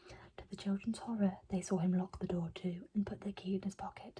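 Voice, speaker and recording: Soft-spoken, this speaker moves along at a fairly quick pace. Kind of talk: bedtime story reading.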